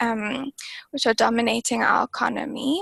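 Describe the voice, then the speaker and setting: This woman has a South African accent and a fairly high pitch. The sound is dry and close, with no echo. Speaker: climate target specialist. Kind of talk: webinar panel discussion. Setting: online webinar.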